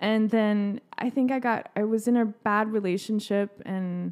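An American accent carries a woman's fairly high voice, an unremarkable speaking voice, at a fairly slow pace with fairly even intonation. The recording is very clean with a silent background. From East Texas. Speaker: comedian. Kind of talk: casual chat. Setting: studio.

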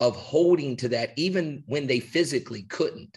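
With an American accent, a man talks in an animated tone with lively intonation. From West Virginia. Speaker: high school basketball coach. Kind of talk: casual interview on coaching.

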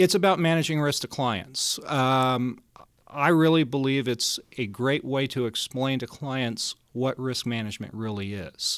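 A man with an American accent speaks in a plain, everyday voice at medium pitch, with ordinary pitch variation and a fairly slow pace, on a very clean recording with a silent background. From Colorado, Denver. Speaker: investment wholesaler. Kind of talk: interview.

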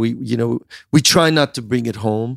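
An ordinary speaking voice at a moderate pace, with fairly even intonation and a dry, close sound with no echo. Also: man. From US Midwest (central Illinois), born in Iran. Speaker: entrepreneur. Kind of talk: interview.

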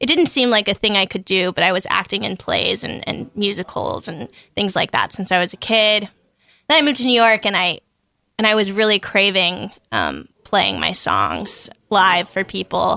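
Vocal fry runs through a bright, sharp tone at a moderate pace with ordinary pitch variation, on a very clean recording with a silent background. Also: woman, medium pitch for a woman. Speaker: singer-songwriter. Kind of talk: casual radio interview. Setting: studio.

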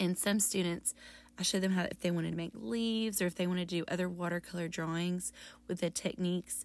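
Fairly even intonation from a woman pitched fairly low. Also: very clean recording, silent background. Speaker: middle school art teacher and podcast host. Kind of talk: solo podcast tutorial. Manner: fading, lower pitch toward the end.

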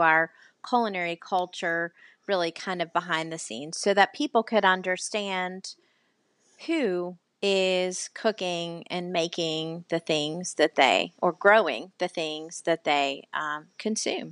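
A woman's plain, everyday voice, fairly low in pitch with ordinary pitch variation, at a fairly slow pace, dry and close with no echo against a quiet background. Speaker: podcast host and food writer. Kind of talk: casual interview chat.

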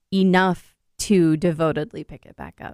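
This is a woman speaking. Her sound is dry and close, with no echo. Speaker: podcast co-host. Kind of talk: casual chat. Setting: studio. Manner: moves away from mic, sometimes hard to hear.

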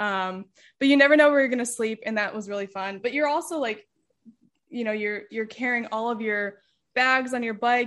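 Using an ordinary speaking voice with an American accent, a woman talks at a moderate pace with a fairly high pitch and fairly even intonation. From Pennsylvania, Lehigh Valley. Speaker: painter. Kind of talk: casual interview chat.

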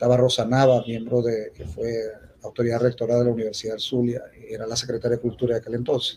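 Very fast and somewhat breathy, a man speaks at a medium pitch in a monotone, flat intonation. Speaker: poet and university speaker. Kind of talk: formal speech at a festival opening. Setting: theatre stage with audience.

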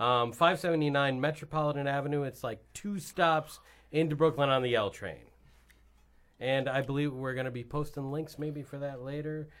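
With an American accent and an unremarkable speaking voice, a man talks at a moderate pace, fairly high in pitch with fairly even intonation. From New York. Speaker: musician and actor. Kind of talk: casual chat.

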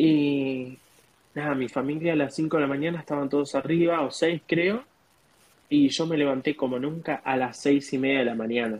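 Fairly high-pitched, a man speaks at a moderate pace with fairly even intonation. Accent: Rioplatense. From Argentina. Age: 20s. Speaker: au pair. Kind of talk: interview.

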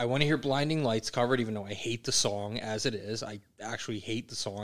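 A man with a plain, everyday voice, medium pitch, at a fairly quick pace. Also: very clean recording, silent background. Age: 30s. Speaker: podcast host and band director. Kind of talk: casual chat.

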